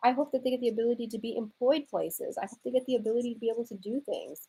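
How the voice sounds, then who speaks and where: Speaking at a very fast pace in an American accent, the voice has a dark, mellow tone and ordinary pitch variation. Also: woman. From Houston, Texas. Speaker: live streamer. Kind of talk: live stream chat reading comments.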